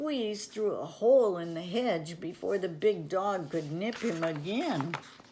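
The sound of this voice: The voice reads in an unforced way.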